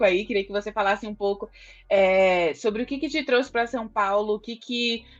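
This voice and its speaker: Against a quiet background, a normal speaking voice moves at a moderate pace. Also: woman. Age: 20s. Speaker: podcast host. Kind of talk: podcast interview.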